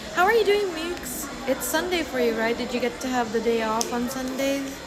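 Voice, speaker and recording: Lively intonation runs at a moderate pace, with audible room echo and music in the background. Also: woman. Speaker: livestreamer. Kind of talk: casual chat. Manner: whispering.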